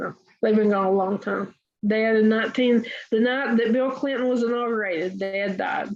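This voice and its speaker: At a moderate pace, a woman speaks in a Tennessee accent with a fairly high pitch and fairly even intonation. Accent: Southern US (Tennessee). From US South, Chattanooga, Tennessee. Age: 70s. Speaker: writer and massage therapy teacher. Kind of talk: interview. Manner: hesitant, with many fillers.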